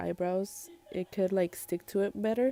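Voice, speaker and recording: With music in the background, a woman talks at a fairly slow pace and a medium pitch, with ordinary pitch variation and a dry, close sound with no echo. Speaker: makeup artist. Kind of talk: tutorial. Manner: casual, many fillers.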